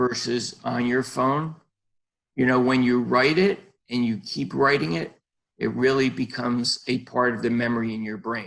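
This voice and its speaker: A man speaks in a normal speaking voice at a medium pitch and a fairly slow pace. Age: 60s. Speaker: podiatrist, life coach guest. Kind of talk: interview.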